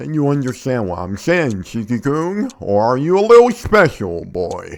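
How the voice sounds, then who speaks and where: A man puts on a character voice with very wide pitch swings. He talks at a moderate pace. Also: fairly high pitch for a man. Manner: stern.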